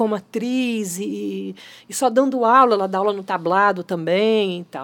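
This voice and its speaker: Here is a woman with a plain, everyday voice at a medium pitch. She speaks at a moderate pace with lively intonation. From Brazil, Niterói. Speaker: actress and theatre director. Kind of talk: casual interview chat.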